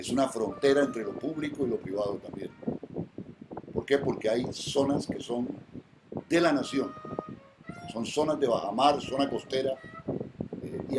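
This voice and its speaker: There is noticeable background noise as a man speaks at medium pitch with ordinary pitch variation. He takes long, frequent pauses. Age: 60s. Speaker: environmental lawyer. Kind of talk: interview. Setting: at home.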